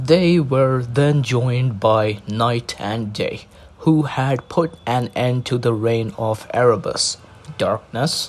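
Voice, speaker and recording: Noticeable background noise sits behind the speech. A man with a medium pitch speaks at a very slow pace. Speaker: narrator reading mythology aloud. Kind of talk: casual intro; reading aloud. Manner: monotone.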